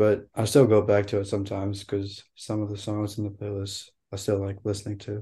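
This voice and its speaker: In a dark, mellow, somewhat breathy tone, a man speaks fairly low and fairly quickly, flat and monotone, with hardly any pauses. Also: quiet background. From India. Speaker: music producer. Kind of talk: casual interview. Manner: laid-back.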